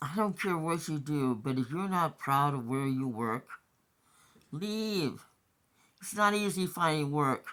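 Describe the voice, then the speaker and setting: On a very clean recording with a silent background, a woman with a very deep, low pitch speaks fairly slowly, her intonation lively and her pauses long and frequent. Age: 60s. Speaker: vlogger. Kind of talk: personal rant monologue. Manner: agitated.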